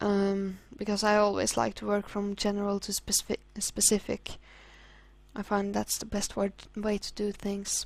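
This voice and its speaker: Using a Norwegian accent, a woman speaks at a moderate pace with a medium pitch and monotone, flat intonation. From Norway. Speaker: hobby artist. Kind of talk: casual tutorial commentary. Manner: halting.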